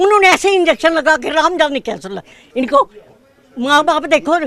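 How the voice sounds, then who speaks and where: Over noticeable background noise, a woman speaks in a high pitch with lively intonation and long, frequent pauses. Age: 70s. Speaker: grieving mother. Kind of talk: emotional complaint to press.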